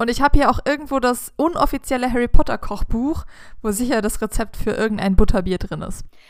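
A woman with a fairly high pitch speaks at a fairly quick pace in an unremarkable speaking voice, with ordinary pitch variation, in a very clean recording with a silent background. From southern Germany, village. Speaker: podcast host. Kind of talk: casual chat.

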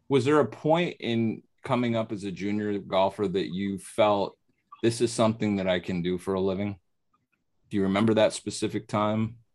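A man with an American accent has an unremarkable speaking voice, fairly low in pitch with ordinary pitch variation. He talks at a moderate pace on a very clean recording with a silent background. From upstate New York, near Oneonta. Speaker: podcast host, golf instructor. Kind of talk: casual interview.

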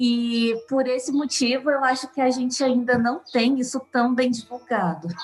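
A woman with a high pitch speaks at a fairly slow pace, with fairly even intonation and very even loudness. She hardly pauses, and noticeable background noise is present. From southern Minas Gerais, Brazil. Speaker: nutrition professor. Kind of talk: interview.

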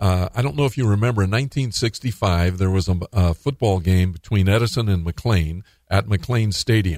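This man has an ordinary speaking voice, fairly low in pitch, with ordinary pitch variation, a moderate pace and an American accent. The recording is very clean with a silent background and a dry, close sound with no echo. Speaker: radio talk show host. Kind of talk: radio talk show interview; and at 25:13, upbeat radio DJ patter with promos. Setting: radio studio. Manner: warm, friendly, faith-minded, uses fillers like uh and um.

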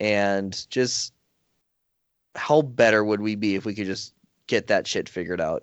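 With an American accent, a man with a fairly low pitch and ordinary pitch variation speaks with long, frequent pauses. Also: fairly slow pace. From US Midwest, rural North Dakota. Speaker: podcast host, guest. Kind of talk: casual chat.

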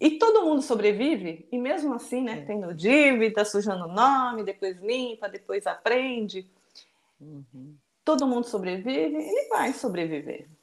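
A woman's fairly high voice at a fairly slow pace, with very wide pitch swings and big shifts in loudness. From born in Japan, raised in Brazil from age two. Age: 50s. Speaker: children's book author and mother. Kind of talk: casual interview.

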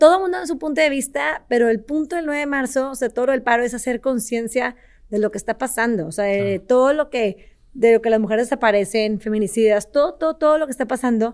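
Speaking very fast with a northern Mexican accent, a woman uses a high pitch on a very clean recording with a silent background. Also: lively intonation. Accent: northern Mexican (regio) Spanish. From Mexico, Monterrey. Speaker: entrepreneur, company CEO. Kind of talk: interview.

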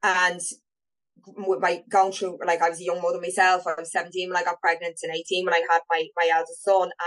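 Talking at a fairly quick pace, a woman speaks with an Irish accent. Her fairly low voice holds a monotone, flat intonation. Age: 40s. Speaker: adoptee sharing her story. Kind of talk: casual interview.

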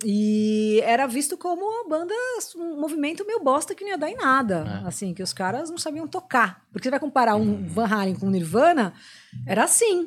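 Talking at a fairly quick pace, a woman uses a high pitch that makes very wide swings. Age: 40s. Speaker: rock radio host and music journalist. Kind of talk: casual chat.

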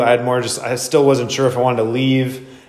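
A man with an American accent at a medium pitch, monotone and flat in intonation, with audible room echo. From Wisconsin, US Midwest. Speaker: podcast host and fitness coach. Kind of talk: casual chat.

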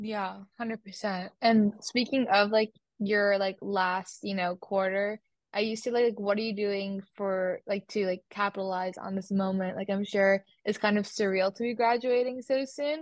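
Delivered at a moderate pace, a normal speaking voice keeps fairly even intonation. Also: woman. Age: young. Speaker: podcast host, college student. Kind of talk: casual chat.

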